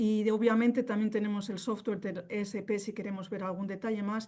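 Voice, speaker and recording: A woman speaks at a fairly quick pace, her pitch fairly high. Her tone is dark and mellow against a quiet background. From northern Spain (Vitoria). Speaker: company representative, contact lens specialist. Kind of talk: webinar presentation. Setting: online webinar. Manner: fast.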